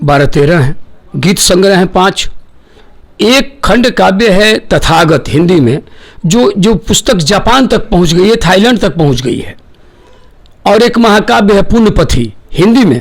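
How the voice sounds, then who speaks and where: A high-pitched man's voice in a Bihari accent, with lively intonation. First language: Bhojpuri (speaking Hindi). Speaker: poet and lyricist. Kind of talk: interview.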